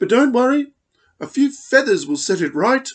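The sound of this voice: Putting on a character voice, a man speaks at an extremely high pitch with big pitch swings at a moderate pace.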